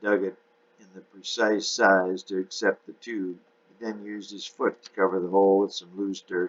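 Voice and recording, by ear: A person reads aloud in a natural voice.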